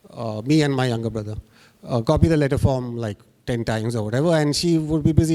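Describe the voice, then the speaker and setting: A man's medium-pitched voice with a Bengali accent, dark, mellow tone, very fast pace, and ordinary pitch variation. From India, Bengali family, moved around (Rajasthan). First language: Bangla. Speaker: graphic artist. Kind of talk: panel discussion. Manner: halting, many fillers.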